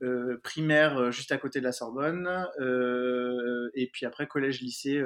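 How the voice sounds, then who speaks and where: The man's voice shows big swings in loudness. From Paris, France. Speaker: dentist. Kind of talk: casual chat.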